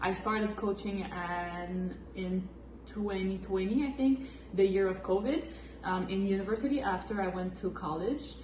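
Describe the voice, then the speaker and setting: A woman talks at a moderate pace in a Quebec French accent. Room echo is audible, and background noise is noticeable. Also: medium pitch for a woman, ordinary pitch variation. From Quebec, Valleyfield near Montreal. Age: 20s. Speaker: massage therapist and flag football coach. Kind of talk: casual Q&A chat.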